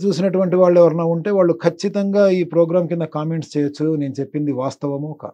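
Against a quiet background, a man speaks at a high pitch in a dark, mellow tone. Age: 50s. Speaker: spiritual teacher and motivational guru; spiritual teacher. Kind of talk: interview, explanatory talk. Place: studio. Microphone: lapel.

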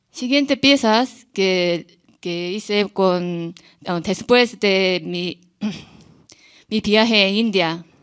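A woman with a Korean accent talks at a very slow pace with ordinary pitch variation and long, frequent pauses against a quiet background. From South Korea, small town. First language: Korean (speaking Spanish). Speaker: visual artist; artist on a panel. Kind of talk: artist talk. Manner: halting, non-native phrasing. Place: hall. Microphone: podium.

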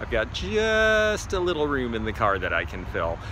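A man's voice sounds dry with no echo, with noticeable background noise. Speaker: vintage reseller vlogger. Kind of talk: casual vlog chat. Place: market. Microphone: phone near.

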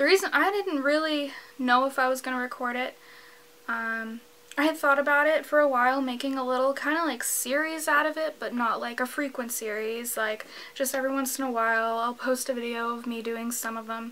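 A woman's raised, projected voice has a bright, sharp tone. She goes at a fairly quick pace with ordinary pitch variation. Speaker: vlogger. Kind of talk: casual vlog chat. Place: home room.

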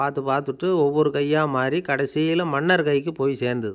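A man speaks with a fairly high pitch and fairly even intonation against a quiet background. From Tamil Nadu. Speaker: radio presenter. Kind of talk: radio talk with anecdote. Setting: radio studio. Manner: colloquial, storytelling. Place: studio.

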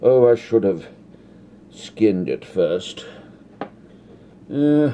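A man speaks at a very slow pace. Light background noise sits behind him. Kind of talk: comedic cooking tutorial in character. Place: kitchen. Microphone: phone near.

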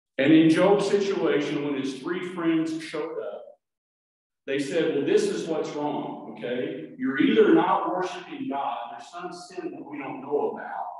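A man speaks at a fairly slow pace, his loudness swinging widely. Strong echo fills the room over a quiet background. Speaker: pastor. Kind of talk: sermon. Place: church.

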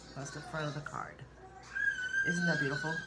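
Clear music plays in the background. Over it, a woman speaks with a very deep, low pitch. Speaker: vlogger sharing received cards. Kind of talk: casual vlog chat. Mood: warm, grateful, soft-spoken. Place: kitchen. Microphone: phone near.

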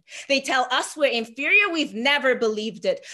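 A woman's raised, projected voice, bright and sharp in tone, with lively intonation against a quiet background. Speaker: spoken word poet. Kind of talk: spoken word poetry performance. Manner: rhythmic, rhyming, emphatic delivery. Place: home room. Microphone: webcam.

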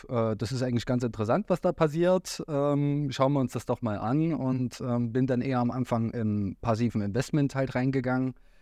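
In a dry sound with no echo and a quiet background, a man speaks at a moderate pace in a dark, mellow tone. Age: 30s. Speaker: trader and academy team member; podcast guest. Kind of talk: casual interview. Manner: hesitant, many fillers. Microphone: video call.

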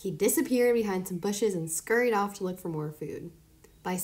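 The passage is read aloud in a natural voice.

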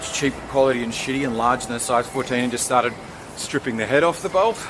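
A man rushes along at a very fast pace, intonation fairly even, with noticeable background noise present. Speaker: motorcycle vlogger. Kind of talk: casual vlog chat. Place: street. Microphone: phone near.

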